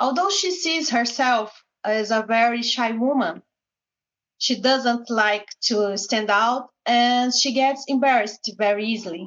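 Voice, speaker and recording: A woman's fairly high voice at a very slow pace with ordinary pitch variation. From Goiânia, Brazil. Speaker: English student. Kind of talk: reading aloud. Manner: halting.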